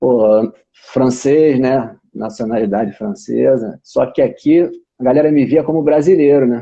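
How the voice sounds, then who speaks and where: The speaker is a man with a medium pitch. His pace is fairly slow. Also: ordinary pitch variation. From Brazil. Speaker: channel host. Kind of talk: casual interview. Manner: animated.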